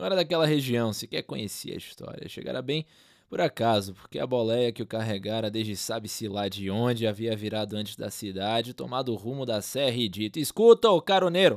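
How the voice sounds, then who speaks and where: A man with a Brazilian accent talks at a fairly quick pace with hardly any pauses. His pitch is medium and his intonation lively. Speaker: narrator and podcast host. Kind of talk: dramatic literary narration, reading a short story aloud. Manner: measured, atmospheric, ominous storyteller pacing; solemn, lyrical, with suspenseful pauses.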